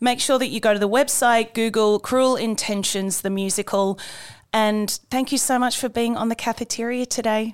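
A woman with an Australian accent, fairly high-pitched, at a moderate pace on a very clean recording with a silent background. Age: 40s. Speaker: podcast host and performer. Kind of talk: podcast chat. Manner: animated.

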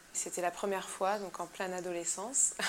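A woman's medium-pitched voice moves at a fairly slow pace with monotone, flat intonation. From Madagascar and Cameroon. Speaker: musician. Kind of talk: interview.

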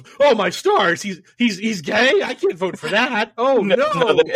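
Using a put-on character voice, a man speaks at a fairly slow pace with a high pitch. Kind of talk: old-fashioned. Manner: clutching pearls, shocked.

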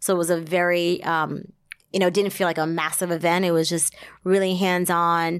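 In an American accent, a woman speaks at a moderate pace with a fairly low pitch, a monotone, flat intonation and very even loudness. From US Northeast (central New Jersey). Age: 30s. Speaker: wine sales representative and consultant. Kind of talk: casual interview.

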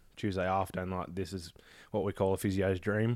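Talking at a very fast pace, a man with an Australian accent and a fairly low pitch keeps a monotone, flat intonation. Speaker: martial arts student. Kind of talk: casual chat. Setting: studio.

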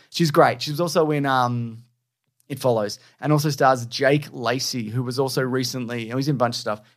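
A man talks at a fairly quick pace in a plain, everyday voice. His pitch is medium, and his intonation stays fairly even. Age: 40s. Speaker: podcast co-host. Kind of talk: casual chat.

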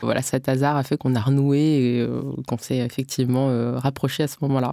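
A woman speaks at a moderate pace. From Bondy, Paris suburbs. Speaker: education startup founder. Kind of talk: interview.

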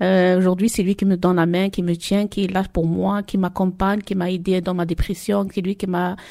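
A woman talks in a dark, mellow tone at a medium pitch, with monotone, flat intonation and hardly any pauses. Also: moderate pace, very clean recording, silent background. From Marseille, La Castellane. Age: 40s. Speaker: mother giving testimony. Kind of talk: testimony. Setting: public event in Marseille. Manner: halting.

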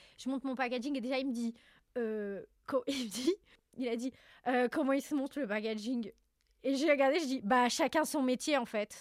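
Long, frequent pauses mark a woman's high-pitched speech, delivered at a moderate pace with ordinary pitch variation in a very clean, dry, close recording with no echo and a silent background. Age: 20s. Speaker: content creator and entrepreneur. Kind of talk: casual chat.

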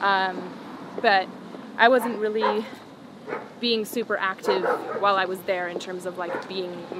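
Noticeable background noise sits under a woman speaking at a fairly slow pace. Her intonation is fairly even, with long, frequent pauses. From Colombia. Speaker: music artist. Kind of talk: casual interview. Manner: hesitant, many fillers.

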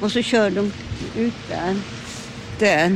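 Noticeable background noise accompanies a woman speaking. She talks at a fairly slow pace with ordinary pitch variation. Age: 80s+. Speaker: street outreach volunteer, former sex worker. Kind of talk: interview testimony. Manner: halting.

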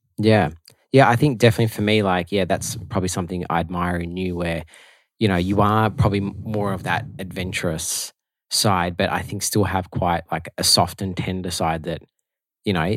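An Australian accent marks this man's very deep, low voice. He talks at a moderate pace with ordinary pitch variation in a very clean recording with a silent background. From Melbourne, Australia. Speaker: podcast co-host, musician. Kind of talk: casual chat.

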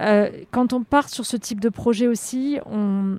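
The sound is dry and close, with no echo. A dark, mellow tone moves at a very slow pace with monotone, flat intonation. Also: woman. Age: 30s. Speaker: extreme endurance athlete. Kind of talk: interview. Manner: halting, frequent hesitations.

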